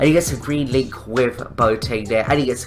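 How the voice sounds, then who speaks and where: Music can be heard in the background. A man talks at a moderate pace. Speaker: gaming YouTuber. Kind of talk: video game commentary.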